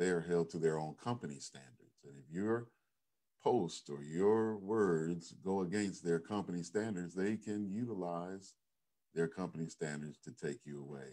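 A man speaks in a very deep, low pitch with a dark, mellow tone. His pace is moderate, his pitch varies in an ordinary way, and his loudness swings widely. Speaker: pastor. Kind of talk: sermon. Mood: earnest, cautionary. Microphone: webcam.

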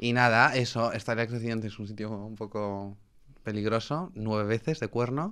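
A man's medium-pitched voice with a bright, sharp tone, fairly even intonation and a moderate pace against a quiet background. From Spain. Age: 20s. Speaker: nightlife promoter; podcast guest. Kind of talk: casual chat. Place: studio. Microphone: studio mic.

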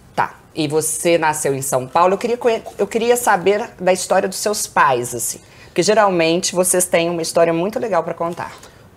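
A woman with an ordinary speaking voice talks at a moderate pace, her fairly low pitch carrying lively intonation. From Brazil, Belo Horizonte (Minas Gerais); Minas Gerais, Brazil. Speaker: podcast host, Portuguese teacher. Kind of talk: casual interview. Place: home room. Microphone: lapel.

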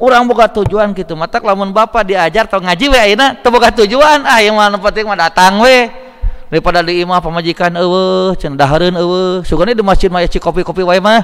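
A man talks at a fairly quick pace with a high pitch. His pitch varies in an ordinary way. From West Java, Indonesia. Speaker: Islamic preacher. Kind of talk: sermon. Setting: mosque. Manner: conversational, bantering with audience. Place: hall. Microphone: podium.

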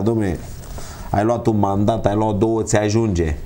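Over light background noise, a man speaks at a fairly low pitch. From Romania, Gorj county (Oltenia); Romania. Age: 50s. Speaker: local councillor. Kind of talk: TV interview. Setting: TV studio. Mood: critical, indignant. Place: studio. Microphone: lapel.

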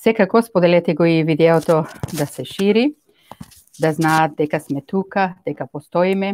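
A woman at a moderate pace, with fairly low pitch and fairly even intonation. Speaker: radio show co-host. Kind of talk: radio show opening address. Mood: warm, patriotic, earnest. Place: studio. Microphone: studio mic.

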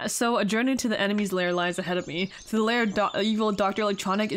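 A natural voice, reading aloud

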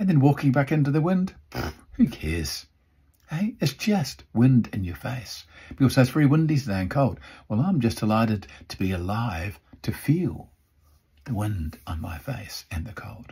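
A somewhat breathy man's voice, dark and mellow, with very wide pitch swings and big swings in loudness against a quiet background. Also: moderate pace. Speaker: motivational speaker. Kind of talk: motivational vlog talk. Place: home room. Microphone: phone near.

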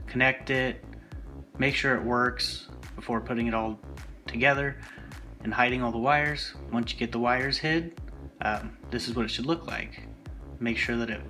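Over music in the background, a man talks with long, frequent pauses. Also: ordinary pitch variation, moderate pace. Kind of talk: tutorial narration.

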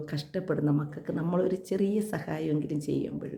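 Amid audible room echo, a woman with a dark, mellow tone and vocal fry speaks with lively intonation. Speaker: ASHA health worker and vlogger. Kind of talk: personal vlog appeal.

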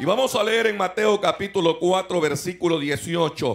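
The man's speech shows ordinary pitch variation. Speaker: pastor preaching. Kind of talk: sermon. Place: hall. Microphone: handheld.

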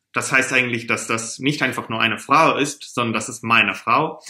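A man speaks with a bright, sharp tone. The background is quiet. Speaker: German teacher. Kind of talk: tutorial. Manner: slow. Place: home room.

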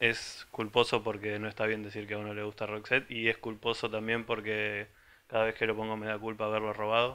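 Bright and sharp in tone, a man's fairly low voice moves at a fairly quick pace with monotone, flat intonation. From Argentina, small town in the interior. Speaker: music site contributor; presenter. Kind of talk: casual record presentation. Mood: humorous, relaxed. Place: home room. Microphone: handheld.

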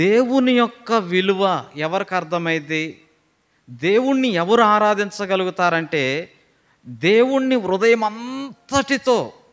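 A man's high-pitched voice with ordinary pitch variation, against a quiet background. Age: 30s. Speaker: pastor; preacher. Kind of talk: sermon. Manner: repetitive, emphatic. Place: church. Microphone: podium.

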